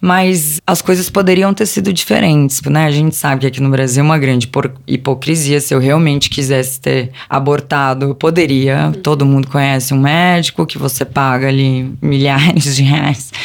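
A woman speaks with a very deep, low pitch. Her pace is moderate, with hardly any pauses. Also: ordinary pitch variation. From Brazil, ABC Paulista (São Paulo state). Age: 30s. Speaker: presenter and communicator, mother. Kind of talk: interview conversation.

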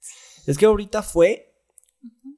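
A man's voice with a dark, mellow tone. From Mexico, Zacatecas. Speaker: podcast host. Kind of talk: casual chat.

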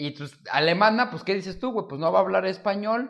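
This is a male speaker. Very wide pitch swings run through his voice. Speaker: podcast co-host. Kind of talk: casual chat.

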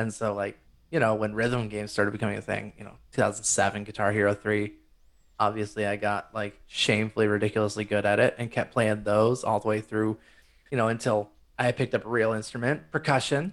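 In a very clean recording with a silent background, a man with an American accent speaks at a fairly quick pace. He has an ordinary speaking voice, a fairly low pitch and fairly even intonation. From rural northern Michigan. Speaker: composer and music editor. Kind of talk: casual interview chat.

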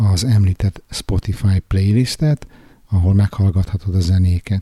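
With a dark, mellow tone, a man speaks at a fairly low pitch, somewhat breathy and at a moderate pace. His intonation is fairly even, and the sound is dry and close with no echo. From Hungary. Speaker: podcast host. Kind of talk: interview; scripted narration.

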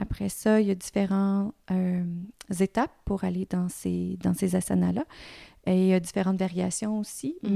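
On a very clean recording with a silent background and a dry, close sound with no echo, a woman speaks at a moderate pace in a dark, mellow tone, her pitch medium with ordinary variation. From Quebec, small town. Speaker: yoga teacher. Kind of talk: interview. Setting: recorded in Canada.

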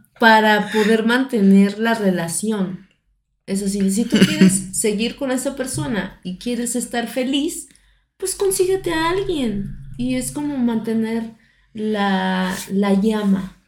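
Speaking very slowly, a woman with a fairly high pitch sounds somewhat breathy, her intonation lively. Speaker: podcast host. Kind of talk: casual chat.

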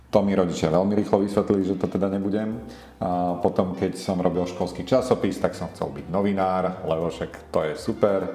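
The delivery is monotone and flat at a moderate pace. Noticeable background noise sits behind it. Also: man, very deep, low pitch for a man. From Slovakia, Martin. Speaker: head of a bookselling company. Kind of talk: casual interview.

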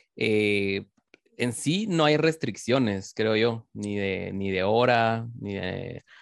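Set against a quiet background, the sound is dry and close with no echo. A man with a Guatemalan accent speaks in a medium pitch with ordinary pitch variation. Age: 20s. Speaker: metal bassist. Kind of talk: interview.

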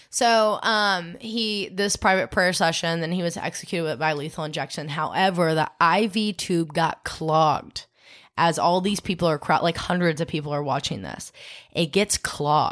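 An ordinary speaking voice: a woman with a fairly low pitch and ordinary pitch variation talks at a moderate pace in a very clean recording with a silent background. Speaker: true crime podcast host. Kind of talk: casual chat with storytelling. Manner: chatty, laughs often.

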